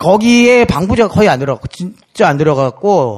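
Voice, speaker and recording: With very wide pitch swings and a high pitch, a man talks at a fairly quick pace on a very clean recording with a silent background. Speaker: music critic. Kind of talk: casual chat. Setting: stage with audience.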